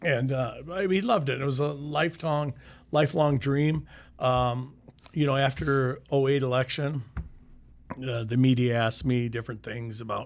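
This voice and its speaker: A man with a Midwestern US accent, medium pitch, ordinary pitch variation and a moderate pace. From Iowa, Sioux City. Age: 60s. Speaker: retired county sheriff. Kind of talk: casual chat.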